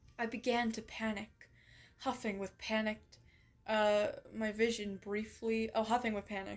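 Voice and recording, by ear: A passage is read aloud here in a natural voice.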